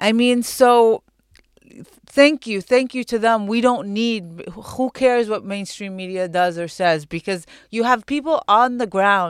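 With an Arabic accent and fairly high pitch, a woman speaks at a fairly slow pace with ordinary pitch variation in a dry, close sound with no echo. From Palestine, East Jerusalem. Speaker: artist and activist. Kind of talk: interview.

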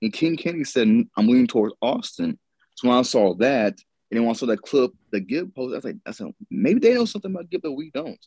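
Moving at a very fast pace, the voice has a dark, mellow tone and very wide pitch swings, with a dry, close sound and no echo. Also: man, fairly high pitch for a man. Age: 30s. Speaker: podcast co-host. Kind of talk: casual chat.

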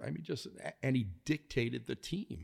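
A man with an American accent speaks at a moderate pace. His voice has vocal fry. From Chicago, US Midwest. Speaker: author and former trader. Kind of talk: interview. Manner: halting, many fillers and repeats.

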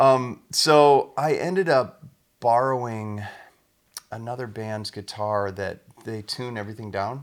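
In a normal speaking voice, a man with an American accent speaks at a fairly slow pace and a medium pitch. His pitch variation is ordinary, but his loudness swings a lot. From US Midwest, small-town Iowa. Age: 40s. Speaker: touring guitarist. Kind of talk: casual interview. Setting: in the guest's house.

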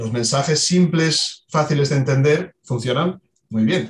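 Somewhat breathy, a man's fairly high voice moves at a fairly slow pace with ordinary pitch variation. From Asturias, Spain. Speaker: water footprint specialist. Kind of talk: expert interview.

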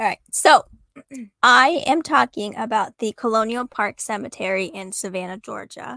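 In a put-on, raspy character voice, a woman speaks at a fairly high pitch and moderate pace with lively intonation. The recording is very clean, with a silent background and a dry, close sound with no echo. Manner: speaking with a mouth full of food, muffled.

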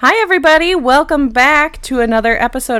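There is noticeable background noise. A woman talks in an animated tone. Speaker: middle school teacher and podcast co-host. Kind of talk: casual chat. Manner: animated, laughs often.

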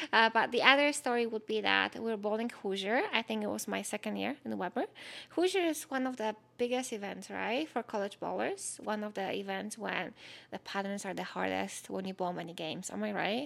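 Fairly quick female speech with a Polish accent. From Poland. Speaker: podcast co-host, former college bowler. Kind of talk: casual chat.

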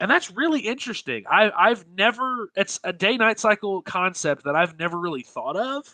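A man projects a raised, high-pitched voice with a bright, sharp tone and very wide pitch swings. He keeps a moderate pace with hardly any pauses, in a dry, close sound with no echo and a quiet background. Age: 20s. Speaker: gaming podcast host. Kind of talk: casual chat.

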